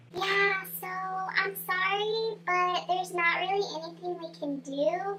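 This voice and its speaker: A woman puts on a squeaky character voice at an extremely high pitch, speaking at a fairly slow pace over clear background noise. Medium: solo performance. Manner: casual, indifferent.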